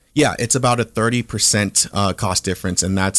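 An ordinary speaking voice at a fairly quick pace, with fairly even intonation and a dry, close sound with no echo. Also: man. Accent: American. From Southern California, Orange County. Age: 30s. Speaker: real estate entrepreneur. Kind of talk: interview. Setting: studio.

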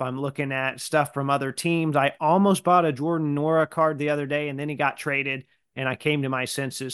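In a plain, everyday voice, a man talks at a fairly quick pace with a fairly high pitch and fairly even intonation against a quiet background. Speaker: podcast host. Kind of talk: casual interview chat.

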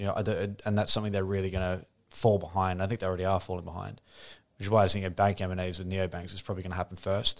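With an Australian accent, this voice speaks at a very fast pace in a monotone, flat intonation, on a very clean recording with a silent background. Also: man, very deep, low pitch for a man. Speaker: crypto company executive. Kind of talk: casual interview.

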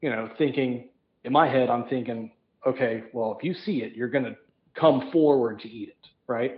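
A man with an American accent talks in a normal speaking voice at a medium pitch and moderate pace, with ordinary pitch variation and big swings in loudness. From US Midwest. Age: 40s. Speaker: traveling angler and fly tier. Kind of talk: casual chat. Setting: phone call.

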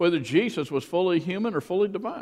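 A man speaks with a Southern US accent. His pace is very fast. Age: 60s. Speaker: pastor. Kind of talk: sermon. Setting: church.

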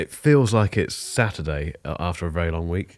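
With an English accent, a man with a very deep, low pitch speaks with lively intonation in a dry, close sound with no echo. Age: 40s. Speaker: tech podcast host. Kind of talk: casual chat. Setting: video call.

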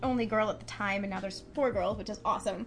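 A woman's voice with audible room echo. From San Francisco Bay Area. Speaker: bassist and songwriter in a band. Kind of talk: casual chat.

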